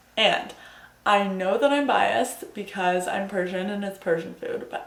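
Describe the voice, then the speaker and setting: A woman with an American accent and an animated tone, amid noticeable background noise and audible room echo. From New Jersey. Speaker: student vlogger. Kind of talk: casual vlog talk to camera. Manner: fast.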